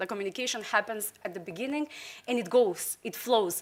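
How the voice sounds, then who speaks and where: A woman's fairly high, bright, sharp voice with lively intonation, in a very clean recording with a silent background. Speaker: candidate for association president. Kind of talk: campaign speech. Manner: fast; passionate.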